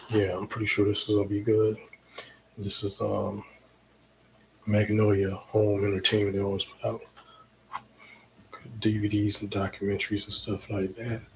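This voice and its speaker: A man with a fairly low pitch speaks at a moderate pace in a relaxed, monotone, flat tone, with long, frequent pauses. Noticeable background noise runs behind him. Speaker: DJ and livestream host. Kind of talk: casual livestream talk. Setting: home livestream on computer. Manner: relaxed, with many fillers.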